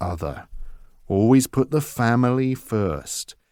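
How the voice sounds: The clip is read aloud. It is a natural reading voice.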